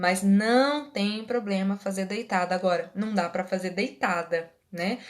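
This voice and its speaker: An ordinary speaking voice from a woman, mid-range in pitch, with usual pitch movement and an even, moderate tempo. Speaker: Reiki teacher and therapist. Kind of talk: live online class. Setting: livestream.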